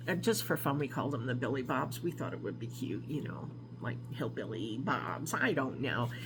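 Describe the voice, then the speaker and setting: A woman with an American accent and a very deep, low pitch at a moderate pace, amid audible room echo. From New York, Albany area. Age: 60s. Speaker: craft vlogger. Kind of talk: casual vlog introduction. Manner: hesitant, with many fillers.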